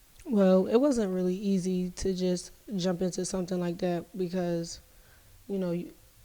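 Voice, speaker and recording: Her dark, mellow tone sits at medium pitch, and the woman keeps a moderate pace with fairly even intonation. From Philadelphia, US. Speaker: entrepreneur, makeup artist. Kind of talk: podcast interview.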